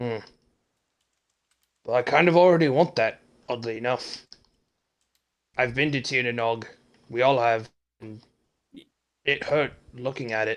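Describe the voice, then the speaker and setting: A man's put-on character voice at medium pitch and moderate pace, broken by long, frequent pauses. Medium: actual play.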